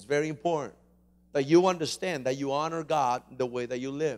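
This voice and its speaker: The voice belongs to a man. Ordinary pitch variation shapes what he says. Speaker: pastor. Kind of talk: sermon. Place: church. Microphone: handheld.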